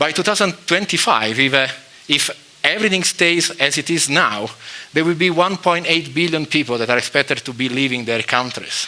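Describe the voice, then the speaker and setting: A man with an Italian accent talks at a moderate pace, his pitch fairly high for a man and his intonation lively. Noticeable background noise sits behind him. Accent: Italian accent, non-native English. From Italy, Rome. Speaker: chemistry professor. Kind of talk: lecture. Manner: halting, many fillers.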